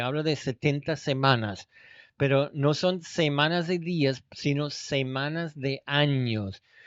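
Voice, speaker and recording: A man talks at a very slow pace. His pitch is fairly high, with ordinary pitch variation. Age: 70s. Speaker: Bible teacher. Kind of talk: lecture.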